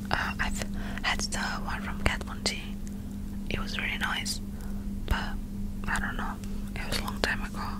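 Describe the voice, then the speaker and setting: Whispering and soft-spoken, a woman talks at a moderate pace in a dry sound with no echo, with loud background noise behind her. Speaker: makeup reviewer. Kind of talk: soft casual ASMR-style product chat. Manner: soft close-mic whisper. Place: home room. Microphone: studio mic.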